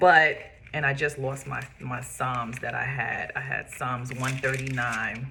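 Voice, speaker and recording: In a New York accent, the speaker talks fairly slowly with monotone, flat intonation and a bright, sharp tone. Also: woman. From Brooklyn, New York. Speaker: podcast host and makeup artist. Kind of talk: personal testimony. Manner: casual with frequent fillers.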